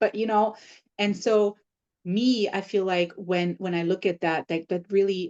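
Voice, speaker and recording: Her tone is dark and mellow, with fairly even intonation. The woman keeps a moderate pace. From Germany. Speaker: podcast host. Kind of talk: interview conversation.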